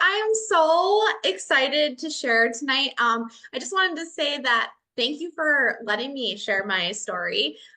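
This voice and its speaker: Projecting a raised voice in a Minnesotan accent, a woman speaks at a fairly slow pace with a high pitch and very wide pitch swings. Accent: Minnesota. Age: 40s. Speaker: educator, program member. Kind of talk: testimony.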